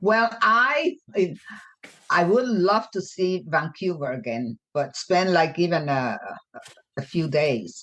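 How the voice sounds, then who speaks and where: A woman at a very slow pace, with fairly low pitch, very wide pitch swings and long, frequent pauses. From Puerto Rico, raised mainly in US. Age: 80s+. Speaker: guest. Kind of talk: casual chat. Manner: halting.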